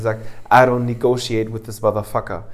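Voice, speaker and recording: The speaker is a man. His pitch is medium. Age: 20s. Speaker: podcast co-host. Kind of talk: casual chat.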